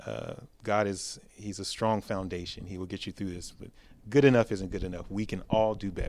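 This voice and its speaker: In an ordinary speaking voice, a man with an American accent talks at a moderate pace and a fairly low pitch with fairly even intonation. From South Texas. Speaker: police officer. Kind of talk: round table discussion. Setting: church building.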